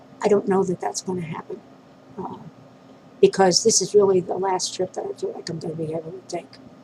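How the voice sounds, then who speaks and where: Speaking fairly quickly with an American accent, a woman leaves long, frequent pauses, her loudness swinging widely over noticeable background noise. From New York City. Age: 50s. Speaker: vlogger. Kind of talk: personal video diary. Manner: halting, many fillers.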